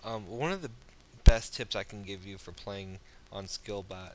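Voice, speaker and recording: Here a man speaks at a fairly low pitch for a man. He keeps a moderate pace. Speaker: online poker strategy video maker. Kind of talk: gameplay commentary tutorial. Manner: loud; halting, many fillers.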